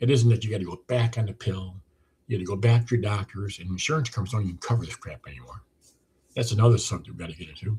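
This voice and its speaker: A man's fairly low, somewhat breathy voice, dark and mellow in tone, at a very fast pace with ordinary pitch variation and big swings in loudness. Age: 70s. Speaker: weight loss program creator. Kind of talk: monologue sales pitch. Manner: casual, repetitive with false starts.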